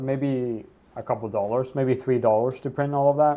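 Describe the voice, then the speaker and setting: This man has a dark, mellow tone at a medium pitch. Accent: American. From Sweden. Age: 20s. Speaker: livestreamer. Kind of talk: casual chat. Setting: livestream. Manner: loud.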